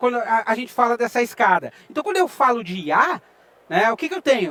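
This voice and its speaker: A man speaks at a very fast pace in an extremely high pitch. The sound is dry and close, with no echo. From Rio Grande do Sul, southern Brazil. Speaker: IT researcher and lecturer. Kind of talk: conference talk. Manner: conversational, with frequent filler sounds.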